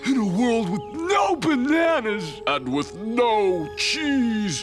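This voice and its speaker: A cartoonish character voice speaks very slowly at a fairly high pitch. Clear music plays in the background. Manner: laid-back, surfer slang.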